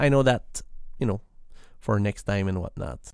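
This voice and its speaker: The voice has a Quebec accent. The recording is very clean, with a silent background. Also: man. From Quebec, Canada. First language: French. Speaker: software developer podcaster. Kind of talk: casual tech podcast monologue. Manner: hesitant with fillers and repetitions.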